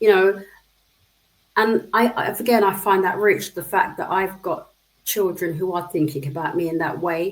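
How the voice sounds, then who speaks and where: This woman has an ordinary speaking voice of medium pitch. She talks at a moderate pace with fairly even intonation. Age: 60s. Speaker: social care professional. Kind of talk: interview.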